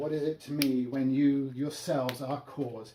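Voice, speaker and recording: A man with a British accent speaks fairly slowly at a medium pitch. His intonation is monotone and flat, with noticeable background noise behind him. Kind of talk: Shakespeare reading.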